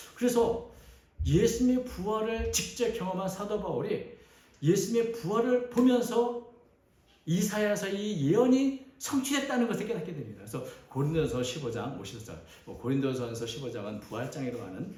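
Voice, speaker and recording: With a dark, mellow tone, a man speaks at a high pitch, making very wide pitch swings and big swings in loudness amid audible room echo. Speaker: pastor. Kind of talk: sermon.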